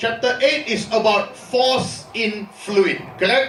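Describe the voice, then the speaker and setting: A high-pitched man at a very slow pace, ordinary pitch variation, audible room echo and noticeable background noise. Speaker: university lecturer. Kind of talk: lecture.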